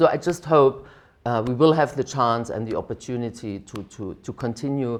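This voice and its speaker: Against a quiet background, a woman with a German accent and a very deep, low voice talks at a moderate pace with very wide pitch swings. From East Germany. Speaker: diplomat, ambassador. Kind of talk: interview answer.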